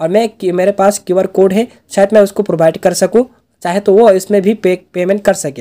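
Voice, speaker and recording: Dry and close with no echo, this recording features a man with a high pitch. His dark, mellow tone moves at a moderate pace. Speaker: YouTube tech tutorial creator. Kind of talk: tutorial.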